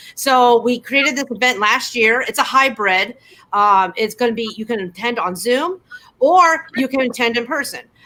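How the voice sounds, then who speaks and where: A woman speaks at a moderate pace with a high pitch. Her tone is bright and sharp, her intonation lively. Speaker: volunteer club officer. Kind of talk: casual interview chat. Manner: stumbling, with false starts.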